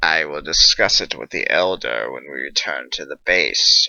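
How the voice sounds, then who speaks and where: Putting on a character voice, a man growls at a very deep, low pitch and a moderate pace, with big swings in loudness. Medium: read story. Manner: growling.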